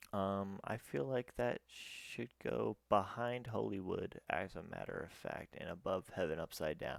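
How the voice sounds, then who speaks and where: A man with vocal fry speaks fairly slowly at a fairly low pitch, using lively intonation and big swings in loudness. The recording is dry and close, with no echo. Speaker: YouTuber. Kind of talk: music review monologue. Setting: at home at night. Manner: quiet, kept down; stuttering, halting.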